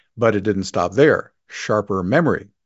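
The pace here is moderate. It is an ordinary speaking voice. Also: man. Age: 60s. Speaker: podcast host. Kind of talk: solo monologue; promotional plug.

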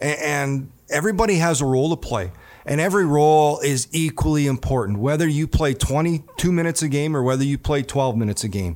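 Fairly high in pitch, a man races through his words at a very fast pace with lively intonation. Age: 40s. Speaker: hockey analyst and former NHL player. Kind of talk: interview. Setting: studio.

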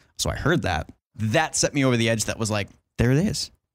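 A plain, everyday voice at a fairly quick pace, on a very clean recording with a silent background. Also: man. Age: 20s. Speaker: mixing engineer. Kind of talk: casual chat. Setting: hotel room at a trade show.

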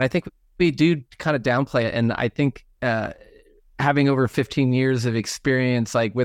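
Dry and close with no echo, the very clean recording against a silent background captures a man with an unremarkable speaking voice, medium pitch, fairly even intonation and a moderate pace. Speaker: doctor. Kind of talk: interview.

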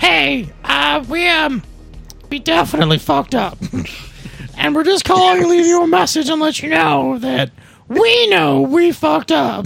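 Faint music plays behind a put-on character voice that speaks at a moderate pace with middle pitch. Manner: answering machine message delivery.

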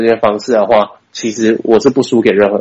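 A man's medium-pitched voice at a moderate pace. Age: 20s. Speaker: video production company owner. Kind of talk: interview. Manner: halting.

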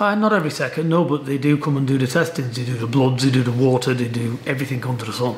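A man speaks at a very fast pace with hardly any pauses and ordinary pitch variation. Noticeable background noise sits behind him. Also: medium pitch for a man. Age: 50s. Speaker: boxing trainer. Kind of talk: interview.

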